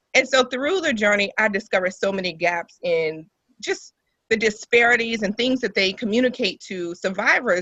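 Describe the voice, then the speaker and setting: Ordinary pitch variation and a moderate pace in a woman's delivery, a plain, everyday voice. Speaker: breast cancer survivor and nonprofit founder. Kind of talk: podcast interview. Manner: conversational with frequent fillers.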